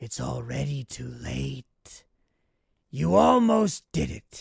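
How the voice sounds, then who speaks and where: A put-on character voice from a man, raspy and very deep, at a very slow pace, with a dry, close sound and no echo. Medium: read story. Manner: calm, composed, smugly triumphant.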